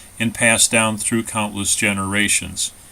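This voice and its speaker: An ordinary speaking voice from a man with an American accent, medium in pitch, at a moderate pace with fairly even intonation. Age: 60s. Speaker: author. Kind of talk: scripted narration.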